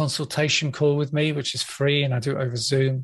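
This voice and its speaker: Against a quiet background, a somewhat breathy voice speaks with fairly even intonation. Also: man. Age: 50s. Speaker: hypnotherapist and podcast host. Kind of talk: interview.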